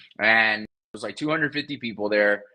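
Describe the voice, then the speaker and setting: Sounding bright and sharp, a man talks at a very fast pace. He has a Spanish accent. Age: 30s. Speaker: real estate investor. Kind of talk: interview.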